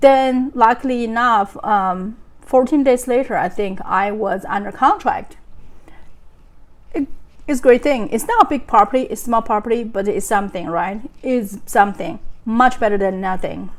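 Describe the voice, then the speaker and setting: A woman with a non-native accent speaks in a fairly high voice. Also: ordinary pitch variation, moderate pace. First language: not English. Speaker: real estate agent. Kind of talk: vlog monologue. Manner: halting.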